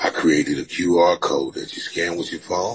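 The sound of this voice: With fairly even intonation, a man speaks at a low pitch with a husky, rough edge. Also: moderate pace.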